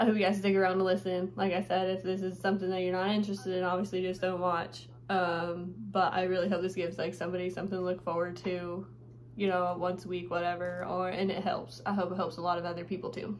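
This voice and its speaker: A woman with an American accent speaks at a very fast pace in a medium pitch with fairly even intonation, and audible room echo surrounds her voice. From Nevada. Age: 20s. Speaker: vlogger and rodeo rider. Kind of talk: casual vlog. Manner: hesitant, many fillers.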